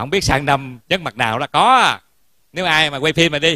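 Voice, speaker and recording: A man's bright, sharp tone at a moderate pace, dry with no echo, over a quiet background. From Vietnam. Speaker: Buddhist monk giving a Dharma talk. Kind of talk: sermon. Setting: temple hall with audience. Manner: formal. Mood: warm, humorous. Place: hall. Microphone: handheld.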